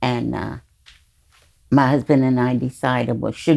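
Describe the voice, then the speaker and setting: A woman with an American accent speaks at a very deep, low pitch, with a dark, mellow tone and vocal fry. Her intonation stays fairly even. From New York (Bronx). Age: 80s+. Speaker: guest, host's mother. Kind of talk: casual chat. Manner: halting.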